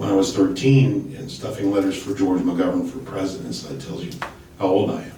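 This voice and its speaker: Over noticeable background noise and audible room echo, a man talks at a fairly low pitch. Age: 60s. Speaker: political candidate. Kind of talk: panel discussion.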